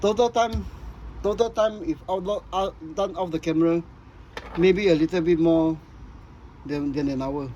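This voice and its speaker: Noticeable background noise accompanies a man with a high-pitched voice. He speaks with long, frequent pauses. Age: 60s. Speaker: scale model builder. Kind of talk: tutorial. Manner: halting, many repeats and fillers.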